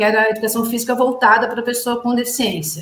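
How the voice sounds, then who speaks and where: A woman rattles off words at a very fast pace, her high voice showing ordinary pitch variation. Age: 50s. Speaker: physical education teacher. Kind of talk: interview.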